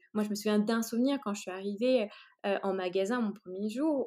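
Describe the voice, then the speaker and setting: Her pitch is fairly high, with ordinary variation. The woman speaks at a moderate pace. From China (French family). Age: 30s. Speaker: entrepreneur. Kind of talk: interview. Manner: halting, many hesitations.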